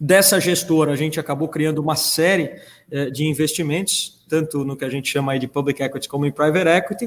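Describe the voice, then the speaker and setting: A plain, everyday voice at a fairly quick pace with fairly even intonation. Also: man, fairly high pitch for a man. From Canada. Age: 40s. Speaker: entrepreneur and school founder. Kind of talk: panel discussion. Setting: video call.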